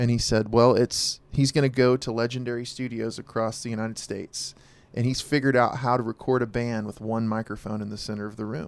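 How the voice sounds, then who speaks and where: A man speaks in a normal speaking voice at a medium pitch, moving at a fairly quick pace with fairly even intonation. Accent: American. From Oklahoma (Verdun). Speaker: musician. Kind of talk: casual chat.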